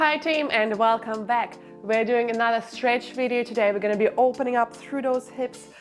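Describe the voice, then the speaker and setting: A calm woman's high-pitched voice with fairly even intonation and a moderate pace, over music in the background. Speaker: barre and stretch instructor. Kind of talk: follow-along exercise class instruction. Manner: encouraging, calm.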